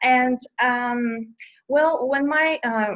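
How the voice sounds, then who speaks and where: Her tone bright and sharp, a woman speaks with a Bulgarian accent. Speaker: children's book author. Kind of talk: interview. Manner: hesitant, many fillers.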